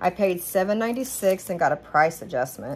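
Over light background noise, a woman talks with ordinary pitch variation. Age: 40s. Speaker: haul vlogger. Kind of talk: casual product haul monologue. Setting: home kitchen, ring light camera. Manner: chatty, rambling. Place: kitchen. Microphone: phone near.

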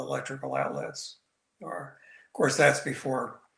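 Against a quiet background with audible room echo, a man talks at a moderate pace. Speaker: guest. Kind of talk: interview answer. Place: home room. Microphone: video call.

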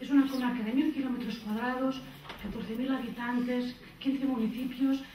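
Light background noise and audible room echo surround a woman speaking at a high pitch. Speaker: social services team director. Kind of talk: conference presentation. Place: hall. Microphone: pa.

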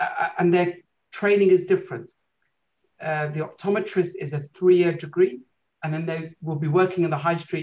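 A man's high voice in a British accent, with fairly even intonation and a moderate pace. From UK. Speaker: eye doctor; guest. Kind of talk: lecture. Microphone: video call.

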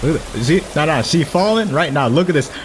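A man talks at a fairly quick clip with lively intonation over noticeable background noise. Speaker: gaming streamer. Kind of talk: game playthrough commentary.

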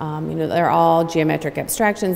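Her pitch is very deep and low. The woman speaks with an American accent. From Cincinnati, Ohio; Ohio. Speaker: textile artist. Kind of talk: gallery talk interview. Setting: standing in gallery in front of artworks. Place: hall.

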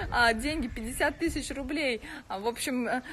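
Light background noise runs beneath a woman's high-pitched voice and her fairly even intonation. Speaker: blogger hosting a giveaway. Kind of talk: casual live stream chat. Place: home room. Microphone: phone near.

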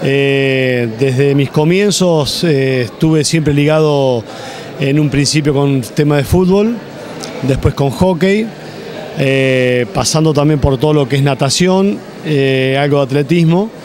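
A man's fairly high voice at a very slow pace, with ordinary pitch variation, very even loudness, a dry sound with no echo and light background noise. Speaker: sports director and coach; coach. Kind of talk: interview. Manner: halting, with many fillers. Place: hall. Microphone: handheld.

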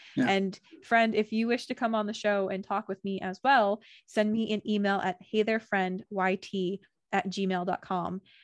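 A woman at a moderate pace, with dry sound with no echo and a quiet background. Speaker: video host. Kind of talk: casual interview chat. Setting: video call. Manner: warm, upbeat. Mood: warm, cheerful. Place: home room. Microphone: studio mic.

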